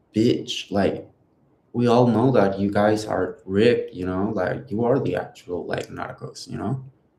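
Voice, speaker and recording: The voice moves at a fairly slow pace in a dark, mellow tone with ordinary pitch variation. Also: man. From northern Mexico, Chihuahua. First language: Spanish. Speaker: live streamer. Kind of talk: casual monologue on livestream. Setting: live stream. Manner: halting, many fillers.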